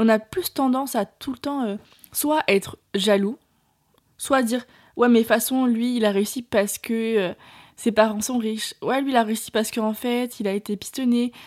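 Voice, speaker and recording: This woman has a plain, everyday voice, pitched fairly high, with fairly even intonation at a moderate pace on a very clean recording with a silent background. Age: 20s. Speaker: podcast host, entrepreneur. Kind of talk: solo monologue podcast. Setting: at her parents' home. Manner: casual, filler-heavy.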